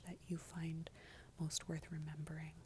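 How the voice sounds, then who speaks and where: Someone soft-spoken talks at a moderate pace. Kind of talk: ASMR gratitude session, soft-spoken talk to camera. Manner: soft-spoken, lo-fi.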